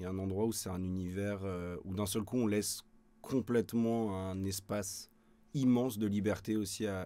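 The man's voice sits fairly low. His intonation is flat and monotone. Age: 20s. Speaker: voice actor. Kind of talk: interview. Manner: hesitant, many fillers. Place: studio.

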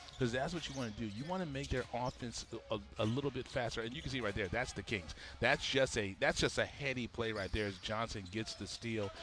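A man speaks at a fairly quick pace with medium pitch and ordinary pitch variation. It is an unremarkable speaking voice. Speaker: basketball commentator. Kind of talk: live sports commentary. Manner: analytical, explaining coaching and strategy between calls.

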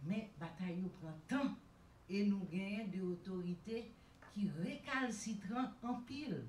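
In a room with audible echo and light background noise, a woman speaks at a fairly slow pace, somewhat breathy, with ordinary pitch variation. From Haiti. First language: Haitian Creole. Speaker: women's rights activist; panelist. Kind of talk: panel speech. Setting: stage with audience. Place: hall.

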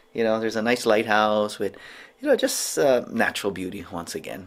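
This is a man with a fairly low-pitched voice. His pitch varies in an ordinary way. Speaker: travel vlogger. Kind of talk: casual vlog chat. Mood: mildly disappointed, upbeat. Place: home room. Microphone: phone near.

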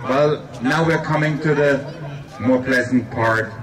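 Noticeable background noise runs under a man's speech. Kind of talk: ceremony speech. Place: stadium. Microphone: pa.

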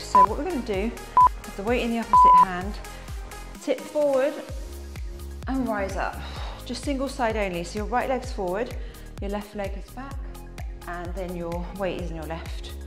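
A woman at a moderate pace, with long, frequent pauses and big swings in loudness, over clear music in the background. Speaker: fitness instructor. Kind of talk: workout instruction. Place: empty room.

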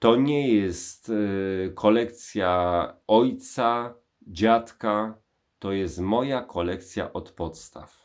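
A man talks at a very slow pace with fairly low pitch and ordinary pitch variation. The background is quiet. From Poland, Kraków; Poland. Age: 40s. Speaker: YouTube vinyl record channel host. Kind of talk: personal monologue to camera. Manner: hesitant, many filler sounds. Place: bathroom. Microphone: phone near.

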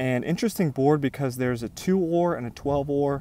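A man speaks with fairly even intonation, the sound dry with no echo and noticeable background noise behind him. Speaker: gaming creator. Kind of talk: gameplay commentary. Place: open country.

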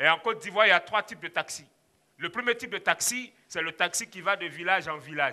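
Against a quiet background, a man with a high pitch and a bright, sharp tone talks at a fairly quick pace with ordinary pitch variation. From Ivory Coast. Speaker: storyteller. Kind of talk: live storytelling performance. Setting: stage. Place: hall. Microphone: headset.

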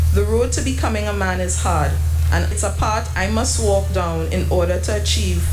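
Music plays in the background. The speech goes at a moderate pace. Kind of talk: funeral tribute reading. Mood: emotional, somber. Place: church. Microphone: podium.

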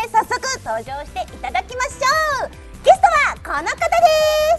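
A woman at a fairly quick pace over faint background music. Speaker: voice actor. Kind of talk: web radio show hosting. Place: studio. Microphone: lapel.

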